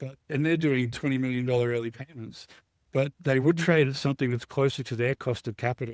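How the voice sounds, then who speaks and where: In an Australian accent, a man talks at a fairly quick pace and medium pitch with fairly even intonation, the sound dry and close with no echo. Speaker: startup CEO. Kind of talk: interview answer.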